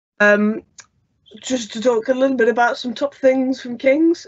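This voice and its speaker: Someone with a northern English accent talks at a fairly quick pace. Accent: non-London, northern English. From northern England (Lancaster). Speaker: student union officer. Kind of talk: online presentation. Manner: hesitant, many fillers.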